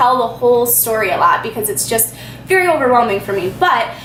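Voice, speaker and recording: Against noticeable background noise and audible room echo, a woman with a high pitch speaks in an animated tone. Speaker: YouTuber. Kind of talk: storytime. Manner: fast.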